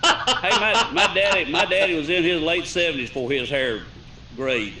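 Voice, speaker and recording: A man speaks at a high pitch with very wide pitch swings. There is noticeable background noise and audible room echo. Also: moderate pace. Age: 60s. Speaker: talk show panelist. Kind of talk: casual chat.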